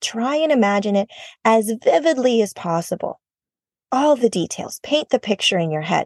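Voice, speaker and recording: A woman's warm tone with an American accent, very wide pitch swings, and a dry, close sound free of echo. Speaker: podcast host, therapist and life coach. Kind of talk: casual motivational solo podcast talk; guided relaxation meditation, slow second-person body-scan instructions. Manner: warm, chatty, laughs often.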